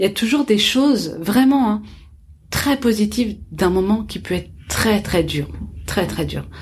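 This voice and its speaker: With lively intonation, a woman speaks at a fairly slow pace against noticeable background noise. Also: medium pitch for a woman. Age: 20s. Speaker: chef and entrepreneur. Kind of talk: interview.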